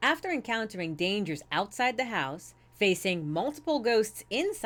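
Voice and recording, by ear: Natural-voiced reading aloud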